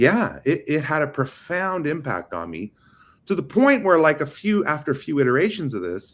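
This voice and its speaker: An animated man with vocal fry, a fairly high pitch and very wide pitch swings, on a very clean recording against a silent background. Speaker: AI and developer relations lead in networking. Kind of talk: casual chat. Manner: fast.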